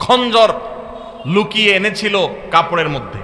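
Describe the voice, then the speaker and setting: A man uses a raised, projected voice at a high pitch. Noticeable background noise sits behind him. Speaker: Islamic preacher. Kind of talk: Islamic sermon (waz).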